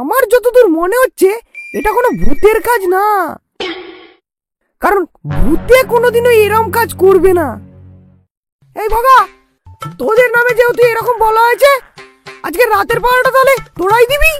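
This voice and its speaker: A put-on character voice goes at a moderate pace, with faint music in the background. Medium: comedy sketch. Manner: commanding.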